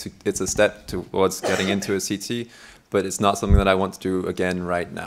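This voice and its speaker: The speech runs at a very fast pace. Noticeable background noise sits behind it. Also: man. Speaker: candidate for meeting chair at a student network assembly. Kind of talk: election Q&A at a meeting. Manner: loud.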